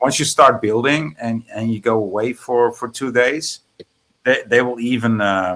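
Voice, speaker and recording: Speaking at a fairly slow pace, a man with a Dutch accent uses a medium pitch and ordinary pitch variation. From Netherlands. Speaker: guest on stream. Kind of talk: casual chat.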